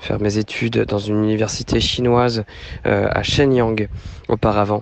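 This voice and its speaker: A man speaks at a medium pitch in a monotone, flat intonation. Noticeable background noise can be heard. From Normandy, France (Rouen). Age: 30s. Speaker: returning expatriate. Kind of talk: interview.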